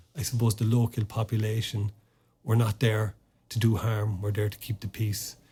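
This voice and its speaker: A man speaks at a moderate pace in an Irish accent, his fairly low voice somewhat breathy with a dark, mellow tone. His intonation stays monotone and flat. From Ireland. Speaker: former army officer and sports administrator. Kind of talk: podcast interview. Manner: halting, many repetitions and fillers.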